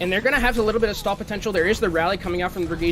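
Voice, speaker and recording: Amid noticeable background noise and audible room echo, a man speaks at a high pitch with fairly even intonation. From France. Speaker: esports caster. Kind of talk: live commentary.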